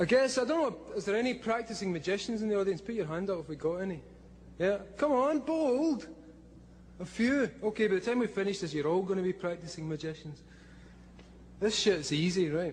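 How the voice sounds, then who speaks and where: A man with a Scottish accent speaks at a high pitch with lively intonation. His pace is fairly quick, broken by long, frequent pauses. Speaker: comic book writer giving a talk. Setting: stage, speaking to a live audience. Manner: casual, profane, conversational.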